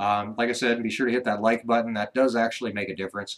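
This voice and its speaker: Here a man talks at a very fast pace. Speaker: ranch vlogger, former radio host. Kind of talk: live stream chat. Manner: radio voice.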